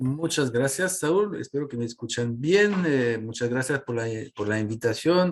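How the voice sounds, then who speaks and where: Pitch shifts in an ordinary way here. The speaker is a man. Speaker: government climate adviser. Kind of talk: panel presentation. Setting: online webinar. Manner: halting, many fillers.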